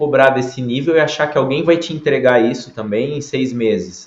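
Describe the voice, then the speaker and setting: A man speaks in a room with audible echo. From Brazil. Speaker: nurse. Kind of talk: interview.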